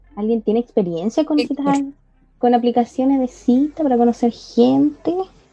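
A woman speaks with a Chilean accent. Her pitch is high. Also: ordinary pitch variation, moderate pace. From southern Chile. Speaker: podcast co-host, LGBTIQ+ activist. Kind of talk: casual chat.

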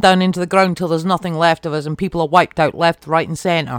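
The voice, with a British accent, moves at a very fast pace in a dry, close sound with no echo. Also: woman, very clean recording, silent background. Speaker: podcast host. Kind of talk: angry rant about politics and inequality. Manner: impassioned, emphatic, swearing.

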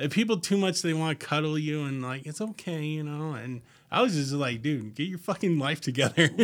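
A man talks fairly quickly in a normal speaking voice, fairly high in pitch with ordinary variation. The recording is very clean and the background silent. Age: 30s. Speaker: guest, delivery business worker. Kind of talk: casual chat.

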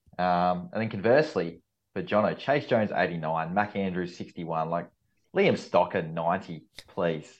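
In an Australian accent, a man talks with a very deep, low pitch. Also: ordinary pitch variation, fairly slow pace. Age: 30s. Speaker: fill-in co-host. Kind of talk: casual chat. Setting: video call.

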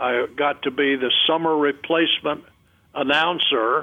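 With a North Carolina accent, a man speaks at a very slow pace. His pitch is fairly high and his intonation fairly even. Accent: North Carolina Southern. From North Carolina, Montgomery County. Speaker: retired broadcaster. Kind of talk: interview reminiscence.

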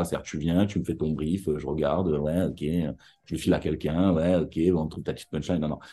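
A man with a very deep, low voice, dark and mellow in tone, at a fairly quick pace, with a strong Marseille accent and a quiet background. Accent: thick Marseille. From Marseille, southern France. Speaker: advertising copywriter. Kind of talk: interview. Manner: animated.

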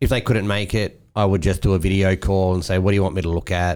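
On a very clean recording with a silent background, a man with an Australian accent talks very fast at a fairly low pitch. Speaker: podcast host. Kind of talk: casual banter.

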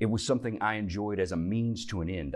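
A man speaks at a fairly slow pace with a very deep, low pitch and a Southern US accent. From US South, Tennessee. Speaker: church teacher. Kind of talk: Bible class teaching.

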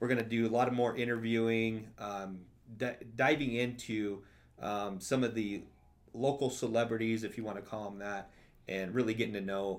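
Speaking in an ordinary speaking voice, a man keeps a fairly quick pace at a medium pitch with ordinary pitch variation. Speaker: podcast host. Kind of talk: casual chat.

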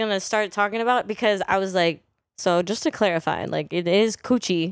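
With an ordinary speaking voice, a woman talks at a moderate pace with lively intonation and a fairly high pitch, in a very clean recording with a silent background. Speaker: podcast guest. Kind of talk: casual chat.

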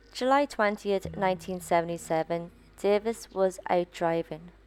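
Music plays in the background as a woman speaks. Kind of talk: true-crime narration. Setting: podcast with subscribe outro. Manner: grim, measured storytelling with flat, matter-of-fact delivery of violent details; opens with a hushed second-person scene, then shifts to steady reporting.

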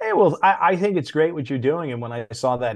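A man's normal speaking voice, lively in intonation, at a fairly quick pace. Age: 50s. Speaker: former comic book editor. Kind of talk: interview.

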